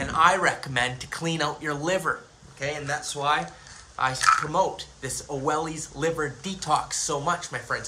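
The man's speech moves at a moderate pace. Faint noise sits behind him. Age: 30s. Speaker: YouTuber on spirituality and aliens; YouTuber on spirituality. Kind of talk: monologue video. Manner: animated. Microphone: phone near.

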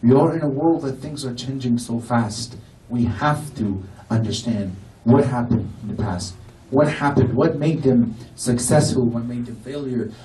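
A man at a moderate pace, passionate in tone, with ordinary pitch variation, light background noise and audible room echo. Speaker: Shia lecturer. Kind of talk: Muharram sermon lecture. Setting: mosque gathering with audience. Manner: fervent, emotional, passionate, preacherly. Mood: emotional lament at end. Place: hall.

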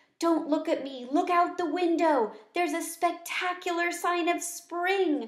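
Using a put-on character voice, a woman speaks in an extremely high, squeaky pitch. Her pace is moderate, and there is audible echo. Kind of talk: read-aloud storytelling. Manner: excited.

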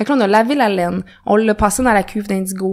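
A woman in a Quebec accent at a fairly quick pace. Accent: Québécois French. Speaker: natural dyer. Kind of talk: casual interview.

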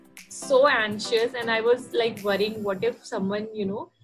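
A woman speaks with fairly even intonation. Faint music plays in the background. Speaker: interview guest. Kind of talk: interview answer. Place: home room. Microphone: webcam.

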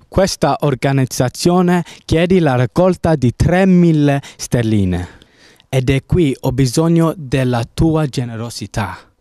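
In an English accent, a man speaks at a very slow pace with fairly high pitch, lively intonation and a dark, mellow tone. His loudness stays very even, and the sound is dry and close with no echo. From England. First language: English (speaking Italian). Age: 18. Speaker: gap-year volunteer fundraiser. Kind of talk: fundraising appeal. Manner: formal.

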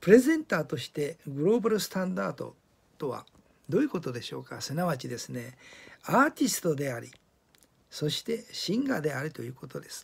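The voice moves at a fairly quick pace with vocal fry, very wide pitch swings, and big swings in loudness. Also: man, fairly high pitch for a man. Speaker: communication coach video blogger. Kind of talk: video diary talk.

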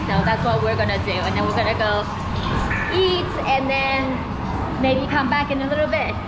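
Loud background noise fills the recording. Through it, a woman speaks at a moderate pace. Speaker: family vlogger. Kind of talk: casual vlog chat. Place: tunnel cave. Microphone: phone near.

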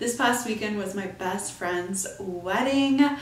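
A woman's speech carries audible room echo. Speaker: podcast host. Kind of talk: casual podcast monologue. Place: home room.

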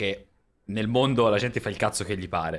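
Against a quiet background, a man talks at a fairly quick pace. His pitch is medium and his intonation fairly even. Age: 30s. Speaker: streamer. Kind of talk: casual chat. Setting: live stream. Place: home room. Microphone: studio mic.

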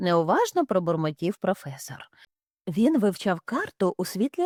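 The words are read aloud plainly. Nothing much sounds behind them.

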